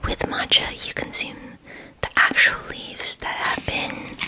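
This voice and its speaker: A woman whispers at a very slow pace over noticeable background noise. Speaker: ASMR creator. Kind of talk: ASMR book reading. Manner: soft-spoken, whispering.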